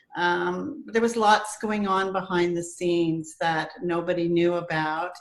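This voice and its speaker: A woman with a Canadian accent talks at a fairly slow pace in a fairly low pitch, with ordinary pitch variation and noticeable background noise. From Ontario, Canada (Burlington). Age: 60s. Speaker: healing practitioner and counselor. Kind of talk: interview testimony. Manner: hesitant with fillers.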